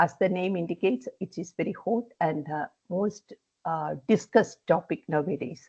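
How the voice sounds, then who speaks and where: In a dry, close recording with no echo, a woman speaks at a fairly low pitch with vocal fry. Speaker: environmental engineering professor. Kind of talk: online lecture. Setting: video call. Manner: hesitant, many fillers.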